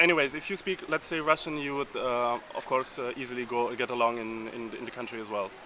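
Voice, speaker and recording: A man's medium-pitched voice with ordinary pitch variation and noticeable background noise. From Uzbekistan. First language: Uzbek. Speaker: exchange student. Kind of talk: casual interview. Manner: halting, many fillers.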